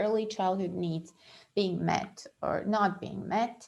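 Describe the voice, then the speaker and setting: A woman speaks with a non-native accent. Her intonation is fairly even. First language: not English. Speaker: astrologer. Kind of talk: monthly horoscope talk. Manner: halting, many fillers.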